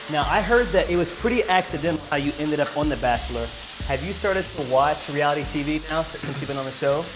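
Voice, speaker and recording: With noticeable background noise behind him, a man rushes through his words at a very fast pace. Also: ordinary pitch variation. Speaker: cooking show host. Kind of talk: tutorial and casual interview. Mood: cheerful, joking. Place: studio. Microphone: lapel.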